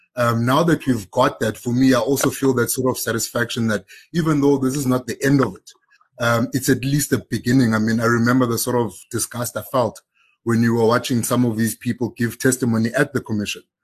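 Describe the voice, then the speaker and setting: A man speaks at a medium pitch and a fairly quick pace. His voice is somewhat breathy, with fairly even intonation. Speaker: senior journalist. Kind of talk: panel discussion. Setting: video call.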